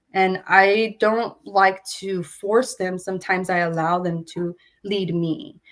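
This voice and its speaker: In a Spanish accent, a woman speaks at a very slow pace and a medium pitch, with fairly even intonation. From California Central Valley, Porterville. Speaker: visual artist. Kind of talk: artist talk interview. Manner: relaxed, reflective with many fillers.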